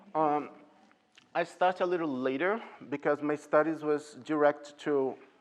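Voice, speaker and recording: A man speaks with a Portuguese accent. His pitch is fairly high. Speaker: ballet teacher. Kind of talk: Q&A with parents.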